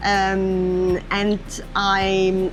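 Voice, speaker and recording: A woman speaks with a French accent, her pitch fairly low. Music plays in the background. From France. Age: 40s. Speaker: tourist. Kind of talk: interview. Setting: on a boat. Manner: halting.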